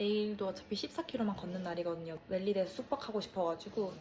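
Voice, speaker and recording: Over noticeable background noise, a woman with a Gyeongsang accent talks very fast at a medium pitch with ordinary pitch variation. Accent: Gyeongsang dialect, now using it freely. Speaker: travel vlogger. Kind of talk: casual vlog reflection.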